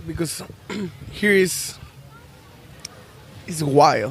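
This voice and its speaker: A man with a Mexican accent, high-pitched with lively intonation, speaking very slowly with long, frequent pauses over noticeable background noise. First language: Spanish. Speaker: band musician. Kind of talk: casual interview. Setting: outdoors on a beach. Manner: halting.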